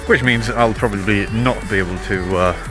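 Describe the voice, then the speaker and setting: Delivered at a moderate pace, the speech sounds dry with no echo while clear music plays in the background. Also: man. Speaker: vlogger. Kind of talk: casual vlog chat. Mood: cheerful, joking. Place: open country. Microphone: phone near.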